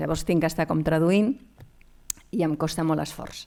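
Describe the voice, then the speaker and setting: A woman with a Galician accent speaks in a fairly low voice with a dark, mellow tone. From Catalonia, raised in Barcelona area after Galicia. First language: Galician (speaking Spanish). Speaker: anthropologist and lecturer. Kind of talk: conference talk. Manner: hesitant, many fillers.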